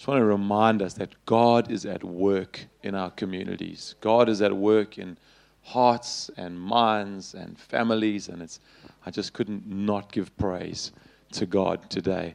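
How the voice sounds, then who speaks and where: In a quiet background, a man with a plain, everyday voice speaks at a fairly slow pace with a fairly low pitch and fairly even intonation. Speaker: pastor. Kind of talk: sermon. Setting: church camp gathering with audience.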